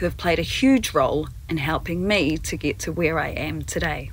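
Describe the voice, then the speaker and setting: Noticeable background noise is present. Through it, a woman speaks at moderate speed. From New Zealand. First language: Māori. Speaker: newsreader and broadcast journalist. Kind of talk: keynote speech. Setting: pre-recorded video keynote.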